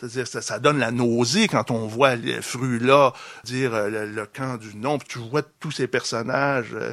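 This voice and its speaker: In a very clean recording with a silent background, a man with a plain, everyday voice, medium in pitch, speaks at a fairly slow pace with fairly even intonation. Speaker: philosopher and author. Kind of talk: public debate. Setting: bookstore event with audience.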